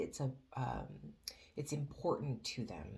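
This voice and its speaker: Quiet speech with vocal fry at a moderate pace. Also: woman. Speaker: tarot reader. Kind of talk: tarot reading. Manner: quiet, straining to be loud; hesitant, many fillers.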